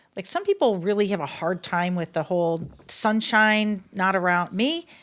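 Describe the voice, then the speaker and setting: A woman's ordinary speaking voice at medium pitch, with ordinary pitch variation and a moderate pace, in a very clean recording with a silent background. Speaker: local podcast co-host. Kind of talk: casual chat.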